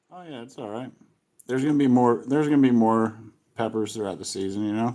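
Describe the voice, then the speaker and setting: A man talks very fast at medium pitch, in a dark, mellow tone with ordinary pitch variation. His loudness swings widely. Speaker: pepper grower and chili eating host. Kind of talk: casual chat.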